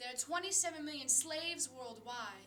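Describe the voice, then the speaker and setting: A woman's raised, projected voice at a fairly slow pace, with music in the background. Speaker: poet. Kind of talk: slam poetry performance. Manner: earnest, impassioned.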